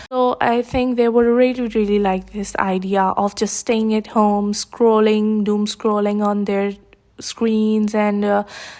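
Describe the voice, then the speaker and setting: A woman with a non-native accent, dark and mellow in tone, fairly slow and monotone, with flat intonation. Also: fairly high pitch for a woman. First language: not English. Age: 20s. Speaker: YouTuber commentator. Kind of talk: casual commentary vlog. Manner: hesitant, many fillers.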